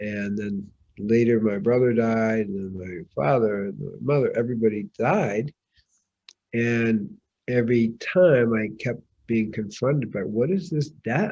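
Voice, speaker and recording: With a dark, mellow tone and medium pitch, a man speaks at a fairly slow pace with lively intonation. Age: 70s. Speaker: holistic physician and spiritual teacher. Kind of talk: interview answer.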